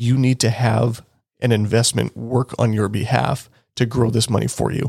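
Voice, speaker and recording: A somewhat breathy man with a Canadian accent, at a moderate pace with fairly even intonation. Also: very clean recording, silent background. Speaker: financial planner and podcast host. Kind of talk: educational solo podcast monologue. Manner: casual, conversational.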